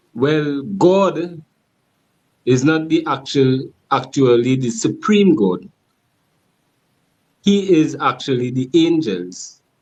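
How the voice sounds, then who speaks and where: This man, with a strong Trinidadian accent, talks at a very slow pace with long, frequent pauses. His fairly high voice carries lively intonation. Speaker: caller. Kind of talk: casual debate.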